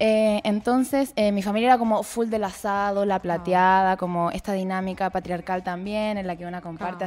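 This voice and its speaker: With hardly any pauses, a woman at medium pitch talks at a fairly quick pace and fairly even intonation on a very clean recording with a silent background. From southern Chile (Temuco). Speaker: vegan activist. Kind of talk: casual chat.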